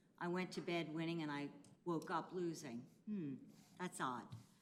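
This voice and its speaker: A woman's fairly low voice at a moderate pace, with audible room echo. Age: 60s. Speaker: retired teacher, public commenter. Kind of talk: public comment at council meeting. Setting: county commissioners meeting.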